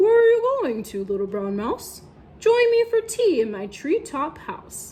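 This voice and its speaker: A woman speaks in a put-on character voice. Her pitch is extremely high, and her pace is moderate. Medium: read story.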